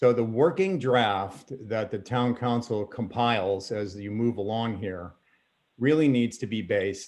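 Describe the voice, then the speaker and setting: Over a quiet background, a man speaks in a normal speaking voice at a fairly slow pace with fairly even intonation. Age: 60s. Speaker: member of the public speaking at a town meeting. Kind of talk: public comment at a council meeting. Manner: formal.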